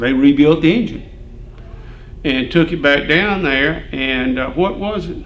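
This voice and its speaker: Speaking with an Alabama accent at a fairly slow pace, a man shows ordinary pitch variation amid noticeable background noise and audible room echo. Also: fairly high pitch for a man. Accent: Southern US (Alabama). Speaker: retired farm equipment dealer. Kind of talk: casual chat.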